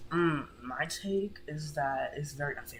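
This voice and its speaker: The voice is quiet, set against noticeable background noise. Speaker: gamer podcast co-host. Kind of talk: casual chat.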